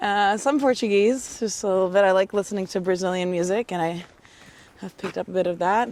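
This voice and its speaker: The speaker talks at a moderate pace in a Bulgarian accent. The intonation stays fairly even. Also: woman. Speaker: interviewee. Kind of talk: casual chat. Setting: outdoors.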